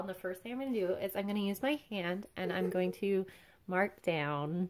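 This is a woman speaking. Her pace is fairly slow. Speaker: drawing instructor. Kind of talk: tutorial. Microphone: phone near.

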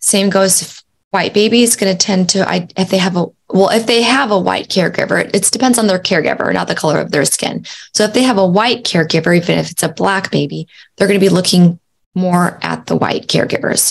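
A woman with vocal fry at a fairly quick pace. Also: ordinary pitch variation. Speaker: podcast host. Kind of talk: educational talk. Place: home room.

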